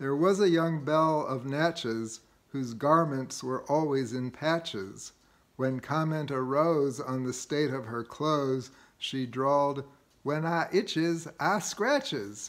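A man's fairly high voice with ordinary pitch variation, at a very slow pace. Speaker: amateur poetry reader. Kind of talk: poem reading. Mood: gently humorous, relaxed. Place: home room. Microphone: phone near.

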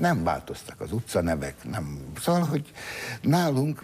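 His pitch swings very widely. The man speaks at a moderate pace. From Hungary. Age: 70s. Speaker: talk show host. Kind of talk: interview. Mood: jovial, laughing. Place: studio. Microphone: lapel.

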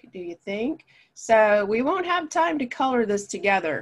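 Intonation here is lively. Delivery comes at a fairly slow pace. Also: woman. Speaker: art teacher. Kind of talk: tutorial.

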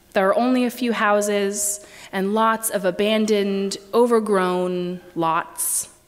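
Ordinary pitch variation from a woman speaking. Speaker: preacher. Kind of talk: sermon. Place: church.

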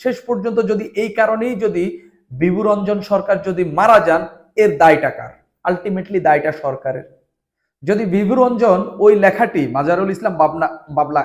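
This man's high-pitched voice carries lively intonation. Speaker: news commentator and media worker. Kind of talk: political commentary monologue. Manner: halting, with many pauses.

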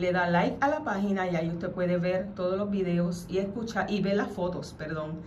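Light background noise runs beneath a woman's moderately paced speech. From Puerto Rico, Mayagüez. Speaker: radio host. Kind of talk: radio talk show; reading aloud a legal document. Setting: radio studio. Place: studio. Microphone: studio mic.

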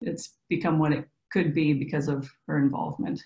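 A woman at a moderate pace with ordinary pitch variation, audible room echo and a quiet background. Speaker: design professor and curator. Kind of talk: presentation. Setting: video call. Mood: warm, appreciative. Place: home room. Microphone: video call.

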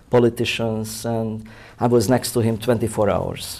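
With a Hungarian accent, a man speaks slowly at a medium pitch in a dark, mellow tone with monotone, flat intonation. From Hungary, Budapest. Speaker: photographer. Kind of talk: interview. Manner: halting. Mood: proud, reminiscing. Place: studio. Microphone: lapel.

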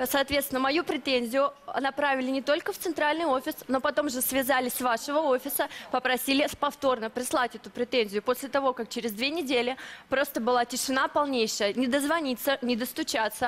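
At a fairly quick pace, a woman speaks with a high pitch and fairly even intonation. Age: young. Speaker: dissatisfied customer. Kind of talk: testimony. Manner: halting. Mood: aggrieved, insistent. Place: studio. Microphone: headset.

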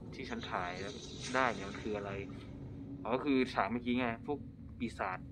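Music plays behind a man's voice. His pitch varies in an ordinary way. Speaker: game streamer. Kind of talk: casual gameplay commentary. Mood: excited, pleased.

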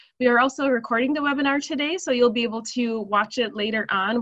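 Over a quiet background, a woman speaks at a fairly quick pace. Her pitch variation is ordinary. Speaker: webinar host. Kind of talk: webinar housekeeping announcement. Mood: friendly, upbeat. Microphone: video call.

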